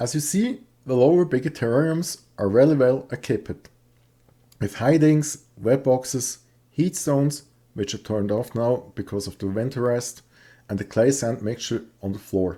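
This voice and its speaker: A man with a Swiss accent speaks at a moderate pace, with a medium pitch and ordinary pitch variation. His tone is dark and mellow, on a very clean recording with a silent background. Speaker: reptile hobbyist youtuber. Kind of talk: video tutorial. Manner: halting.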